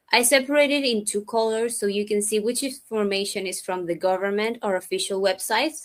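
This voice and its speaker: A woman talks at a moderate pace in an ordinary speaking voice at a medium pitch. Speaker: researcher. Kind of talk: conference presentation. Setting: virtual event.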